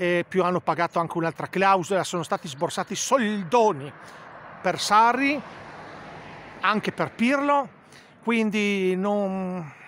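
Loud and high-pitched, a man speaks very slowly with lively intonation and long, frequent pauses. Light background noise is present. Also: dry sound with no echo. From Italy. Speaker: football fan vlogger. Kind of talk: angry rant about the coach, heated opinion monologue to camera. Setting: home video to camera. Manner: loud, indignant, hammering the same words. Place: open country. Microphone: phone near.

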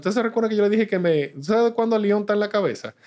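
A man speaks over a quiet background. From Dominican Republic. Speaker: business executive; guest. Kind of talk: interview. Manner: halting. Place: studio. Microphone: studio mic.

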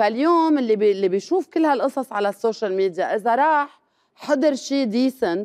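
Against a quiet background, a woman speaks at a moderate pace in a high pitch, her loudness very even while her pitch swings very widely. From Lebanon. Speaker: comedian; comedian guest. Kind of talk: talk show interview. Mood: critical, animated. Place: studio.

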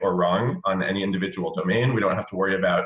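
Audible room echo surrounds a man's voice over a quiet background. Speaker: remote webinar guest. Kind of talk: interview answer. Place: home room. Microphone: webcam.

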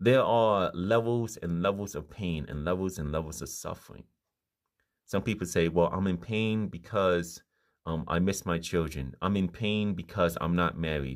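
A man speaks at a moderate pace with a very deep, low pitch and ordinary pitch variation. The background is quiet. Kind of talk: informal sermon. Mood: earnest, calm. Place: home room. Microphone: phone near.

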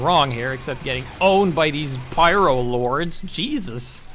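A man talks fairly slowly, with noticeable background noise behind him. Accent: Norwegian. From Norway. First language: Norwegian. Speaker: gaming YouTuber. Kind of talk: gameplay commentary. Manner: casual, animated.

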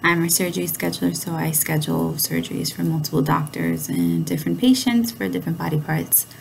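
Over light background noise, a woman with a very deep, low voice talks with very wide pitch swings and hardly any pauses. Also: fairly quick pace. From New York City, Brooklyn. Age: 30s. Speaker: college student. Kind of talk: self-introduction video. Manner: halting, frequent fillers. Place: home room. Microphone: webcam.

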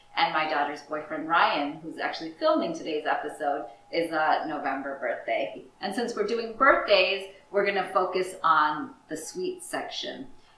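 Amid light background noise and audible room echo, a woman speaks at a moderate pace. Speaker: library director hosting a cooking show. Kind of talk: tutorial. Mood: warm, enthusiastic. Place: kitchen.

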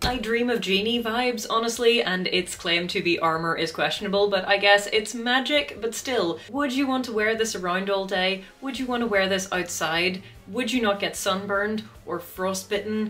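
A woman talks at a moderate pace with hardly any pauses and ordinary pitch variation. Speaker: video creator, actor-combatant. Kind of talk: casual vlog commentary. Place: home room.

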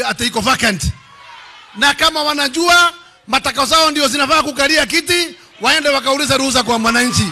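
An animated man speaks in a raised, projected voice at an extremely high pitch. His pace is moderate and his pitch variation ordinary. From Kenya. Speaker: politician. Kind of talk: political rally speech. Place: hall. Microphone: podium.

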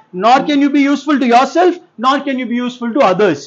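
The pitch is extremely high for a man. He talks at a fairly quick pace. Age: 50s. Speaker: lawyer, motivational speaker. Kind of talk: motivational speech. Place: classroom. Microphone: lapel.

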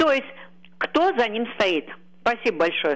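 A woman's voice, high in pitch. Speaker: caller.

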